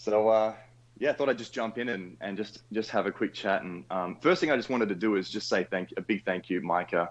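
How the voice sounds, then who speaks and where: A man speaks with an Australian accent. His pace is moderate and his pitch varies in an ordinary way. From Western Australia. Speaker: caller. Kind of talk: casual chat.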